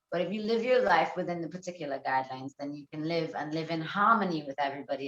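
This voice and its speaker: A woman with a non-native accent speaks at a very fast pace in a very deep, low pitch. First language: not English. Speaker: shamanic healer. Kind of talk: casual chat.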